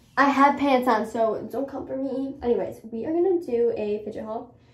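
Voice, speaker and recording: A woman at a fairly slow pace with ordinary pitch variation, in a room with audible echo. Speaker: vlogger. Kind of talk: casual vlog chat. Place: home room. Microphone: phone near.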